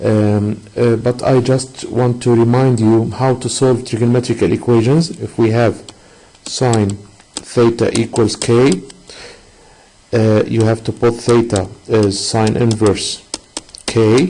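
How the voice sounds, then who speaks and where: Over noticeable background noise, the speaker goes at a very slow pace with long, frequent pauses, very even loudness and fairly even intonation. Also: man, medium pitch for a man. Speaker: math teacher. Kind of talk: online lesson. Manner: hesitant, many fillers.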